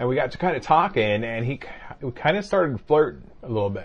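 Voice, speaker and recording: Somewhat breathy, the voice moves at a fairly quick pace with lively intonation. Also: man. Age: 50s. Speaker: podcast co-host. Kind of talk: casual chat.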